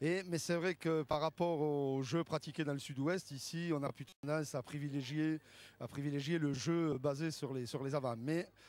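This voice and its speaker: A man with a southern French accent, fairly high pitch, fairly even intonation and a moderate pace, on a very clean recording with a silent background. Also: dry, close sound with no echo. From southern France, Béziers, Hérault. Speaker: rugby coach. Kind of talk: TV interview. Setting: outdoors at rugby stadium. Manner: hesitant, many fillers.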